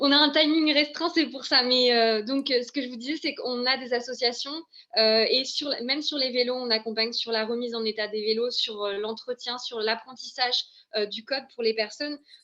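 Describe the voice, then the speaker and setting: Noticeable background noise sits behind a woman. She talks at a high pitch with fairly even intonation. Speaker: local government employment officer. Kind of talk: webinar presentation. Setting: online webinar. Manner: fast; hesitant, many fillers.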